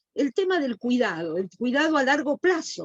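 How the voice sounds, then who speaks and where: A woman's high-pitched voice in a dry, close sound with no echo. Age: 70s. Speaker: panelist, chair of an older adults commission. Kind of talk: panel discussion. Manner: halting, with many fillers and repetitions.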